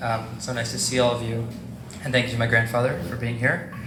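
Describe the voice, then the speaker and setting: Amid audible room echo and noticeable background noise, a man speaks at medium pitch. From New York City. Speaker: interviewer. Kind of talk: interview.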